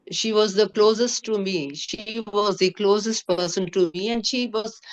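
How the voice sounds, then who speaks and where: Recorded with a dry, close sound and no echo, a woman speaks at a moderate pace in an unremarkable speaking voice with medium pitch and ordinary pitch variation. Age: 60s. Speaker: cancer survivor. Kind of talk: testimony. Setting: video call.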